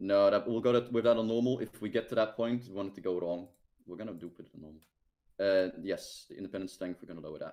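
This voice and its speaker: The speaker goes at a very fast pace with a Dutch accent. Pitch varies in an ordinary way while loudness swings widely. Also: man, fairly low pitch for a man. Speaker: game streamer hosting multiplayer match. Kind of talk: casual gaming chat. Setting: online voice chat stream.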